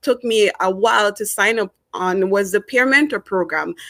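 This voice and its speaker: A woman with a Jamaican accent talks at a moderate pace in a fairly high voice. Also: dry, close sound with no echo, very clean recording, silent background. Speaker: former student, peer mentor. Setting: lives in Canada as an immigrant. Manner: hesitant, many fillers and repetitions.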